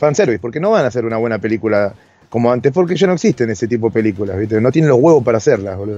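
A man talks at a very fast pace with lively intonation. His medium-pitched voice has a dark, mellow tone. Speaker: podcast co-host, filmmaker and improv actor. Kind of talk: casual chat. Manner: halting.

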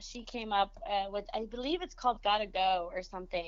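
A woman with a Spanish accent speaks at a moderate pace in a fairly high pitch, her tone animated and her intonation lively. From Monterrey, Mexico; raised San Antonio. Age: 20s. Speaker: event planner, dating advice guest. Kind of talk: casual chat.

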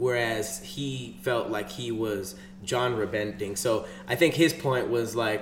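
Amid noticeable background noise, a man with an American accent speaks very slowly with ordinary pitch variation. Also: medium pitch for a man. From Los Angeles. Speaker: podcast co-host. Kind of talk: casual chat.

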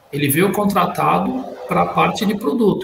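With ordinary pitch movement, a man talks at a moderate speed. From Brazil. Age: 40s. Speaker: panelist. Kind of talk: casual chat.

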